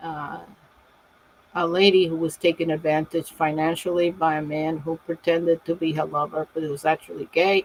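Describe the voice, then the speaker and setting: A woman with a fairly low pitch talks at a moderate pace in monotone, flat intonation, with a dry, close sound with no echo and noticeable background noise. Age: 70s. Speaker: self-published author presenting her books. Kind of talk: live stream book presentation. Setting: live video stream. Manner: casual, with many fillers.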